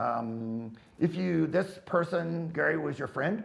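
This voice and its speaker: Lively intonation from a man, fairly high in pitch, with vocal fry. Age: 70s. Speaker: firearms instructor. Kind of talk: casual Q&A answering viewer questions. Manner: casual, rambling with fillers.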